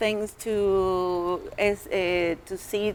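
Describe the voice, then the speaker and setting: A woman with a strong Latin American accent. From Colombia and Venezuela. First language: Spanish. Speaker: artist. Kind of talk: panel discussion. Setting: stage with live audience. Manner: halting.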